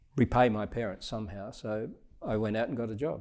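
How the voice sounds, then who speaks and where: A man with an Australian accent at medium pitch and a moderate pace. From Scotland. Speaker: retired diplomat. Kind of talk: interview answer.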